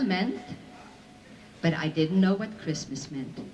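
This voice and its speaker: A woman speaks with ordinary pitch variation while noticeable background noise runs underneath. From Belgium. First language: Flemish, French and Yiddish. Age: 60s. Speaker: Holocaust survivor speaker. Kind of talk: testimony to school audience.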